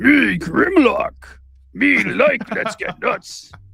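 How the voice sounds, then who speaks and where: A man puts on a character voice and draws out his words at a very slow pace. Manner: caveman-like broken speech.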